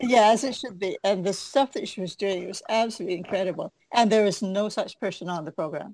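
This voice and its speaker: With a plain, everyday voice, a woman with a Canadian accent speaks at a fairly quick pace and medium pitch, using ordinary pitch variation with hardly any pauses and big swings in loudness, in a dry, close sound with no echo. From western Canada. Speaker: martial artist and author. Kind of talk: casual interview.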